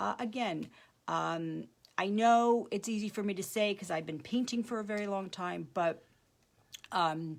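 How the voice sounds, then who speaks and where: A woman at medium pitch, fairly slow, with ordinary pitch variation and long, frequent pauses. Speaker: art teacher. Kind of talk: tutorial.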